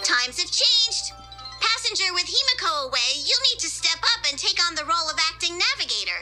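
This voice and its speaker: At a fairly quick pace, a cartoonish character voice with an extremely high pitch plays over clear music in the background. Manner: fussy, protective.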